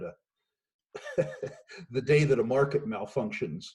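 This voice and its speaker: A man's somewhat breathy, dark and mellow voice at a moderate pace. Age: 60s. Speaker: investment firm executive. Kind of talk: remote interview. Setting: remote call from home.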